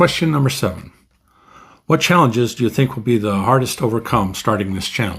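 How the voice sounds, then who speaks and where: Fairly low in pitch, this man's voice has vocal fry. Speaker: booktuber. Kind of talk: casual monologue to camera. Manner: halting, with ums and pauses.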